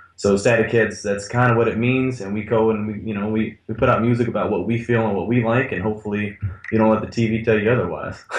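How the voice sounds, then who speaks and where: Barely pausing, a man rattles along at a very fast pace in a flat monotone, medium in pitch, over noticeable background noise. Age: 20s. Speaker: band member. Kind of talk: interview.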